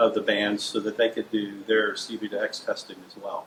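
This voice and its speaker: Noticeable background noise behind a male speaker at a fairly quick pace. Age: 60s. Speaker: transportation engineering consultant. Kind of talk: interview. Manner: hesitant, many fillers.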